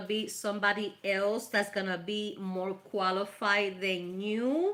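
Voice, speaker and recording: A woman with a Spanish accent speaks in a warm, animated tone at a fairly high pitch. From Puerto Rico. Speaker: tarot reader. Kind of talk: live tarot reading stream. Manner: casual, warm, animated.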